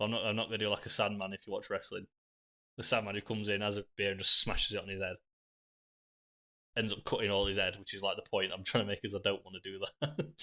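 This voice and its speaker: A man with a Yorkshire accent talks at a very fast pace with long, frequent pauses and fairly even intonation. His fairly low voice has a bright, sharp tone on a very clean recording with a silent background. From northern England, Sheffield. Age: 20s. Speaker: live streamer, pub manager. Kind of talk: casual live stream chat. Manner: casual, sweary.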